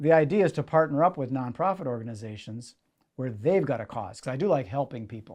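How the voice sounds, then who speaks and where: In an Upper Midwest accent, a man with a fairly high pitch and a dark, mellow tone talks at a fairly quick pace with lively intonation against a quiet background. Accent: Upper Midwest (Minnesota). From Minnesota, Minneapolis area. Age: 60s. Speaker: magician and event entrepreneur. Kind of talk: interview. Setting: in-person sit-down interview.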